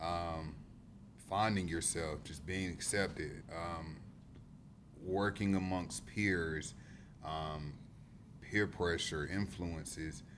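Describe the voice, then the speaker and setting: Spoken at a very slow pace with a Southern US accent, the voice shows ordinary pitch variation against audible room echo. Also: man. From South Carolina upstate (Greenwood). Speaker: youth worker. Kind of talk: podcast discussion.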